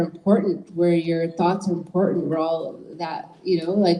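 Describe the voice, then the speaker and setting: A woman's voice over noticeable background noise. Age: 40s. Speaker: author. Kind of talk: panel discussion. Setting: library event.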